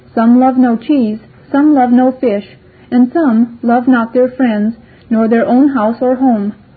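Her pitch is high. The woman speaks at a fairly slow pace. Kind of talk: audiobook reading of rhymed verse (apology for the book). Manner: measured, rhythmic, sing-song cadence stressing the rhymes; formal, archaic, earnest and gently wry.

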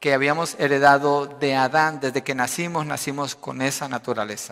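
This man speaks at a moderate pace with a fairly high pitch, a bright, sharp tone and fairly even intonation. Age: 50s. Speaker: pastor. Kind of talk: sermon.

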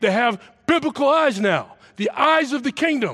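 A man with an American accent speaks at a moderate pace. The background is quiet. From Massachusetts. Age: 60s. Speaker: football coach. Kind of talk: sermon. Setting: church.

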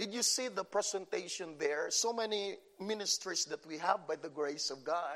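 This man talks at a moderate pace with a Filipino accent. His voice sits high in pitch and varies in an ordinary way. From Philippines. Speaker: pastor. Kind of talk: sermon. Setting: church.

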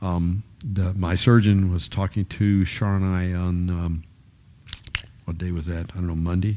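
Noticeable background noise surrounds a man with a very deep, low pitch. He speaks fairly slowly in a flat monotone. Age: 70s. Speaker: Bible study teacher. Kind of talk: Bible teaching. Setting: live group gathering. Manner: halting.

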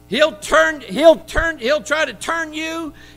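Raising and projecting his voice, a man speaks at an extremely high pitch in a bright, sharp tone with ordinary pitch variation. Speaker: preacher. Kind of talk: sermon delivered live to a congregation, with call-and-response. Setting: church. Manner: animated, fervent, exhorting the congregation directly; conversational, with asides and a touch of humor.

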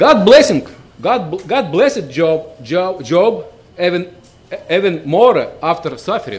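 Speaking very slowly in a Russian accent, a man's high voice moves in very wide pitch swings. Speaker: visiting preacher. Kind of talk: sermon. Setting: church. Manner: halting.

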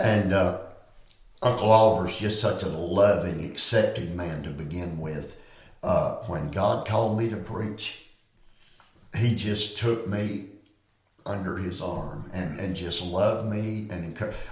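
Somewhat breathy and in a Southern US accent, the speaker goes at a fairly slow pace with fairly even intonation and long, frequent pauses. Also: man, fairly low pitch for a man. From US South Carolina. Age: 70s. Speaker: preacher. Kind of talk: interview about ministry and study.

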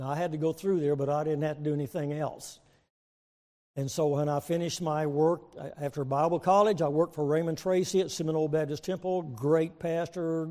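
Speaking at a moderate pace, a man with an American accent has a fairly high voice and a dark, mellow tone. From Texas. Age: 70s. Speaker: visiting preacher. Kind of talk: sermon. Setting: church. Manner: jovial, joking.

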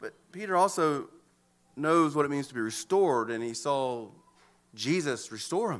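On a very clean recording with a silent background, a man with an American accent speaks in a bright, sharp tone with lively intonation. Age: 40s. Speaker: pastor. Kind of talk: sermon. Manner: halting, frequent repetitions and fillers.

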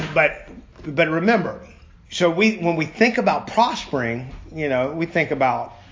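Lively intonation at a moderate pace, with audible room echo and noticeable background noise. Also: man, high pitch for a man. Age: 50s. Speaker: lay preacher at a Bible study. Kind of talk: sermon.

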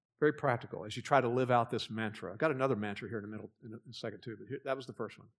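Very fast male speech with an American accent, medium pitch, fairly even intonation, big swings in loudness and hardly any pauses. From Texas Gulf Coast. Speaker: pastor. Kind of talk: sermon. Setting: church.

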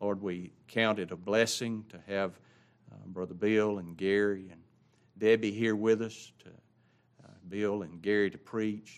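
A man with a Southern US accent talks in a fairly low, monotone, flat voice at a fairly slow pace. His loudness swings widely, and he leaves long, frequent pauses. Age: 60s. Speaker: pastor. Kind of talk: church announcements. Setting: church. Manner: casual.

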